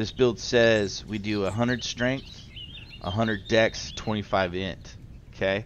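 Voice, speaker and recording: Over noticeable background noise, a man talks at a fairly slow pace with fairly low pitch and fairly even intonation. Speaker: gaming youtuber. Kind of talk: tutorial. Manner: casual.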